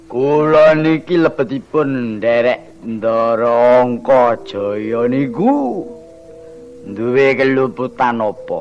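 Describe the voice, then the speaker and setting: Against clear background noise, a man at medium pitch uses a cartoonish character voice at a very slow pace. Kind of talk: comic shadow-puppet interlude. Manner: whining, self-pitying, rambling.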